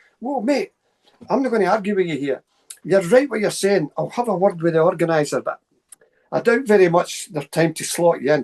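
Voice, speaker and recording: A man with a Scottish accent speaks quickly in a high voice. His intonation is lively, and the sound is dry and close, with no echo. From central Scotland, Stirling area. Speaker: paranormal researcher and lecturer. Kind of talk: casual interview storytelling. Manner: fast; animated.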